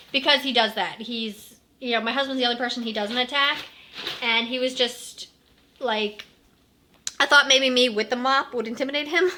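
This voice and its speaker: Amid noticeable background noise, a woman with a high pitch and fairly even intonation speaks with long, frequent pauses. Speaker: mom vlogger. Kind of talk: casual vlog storytelling. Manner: fast.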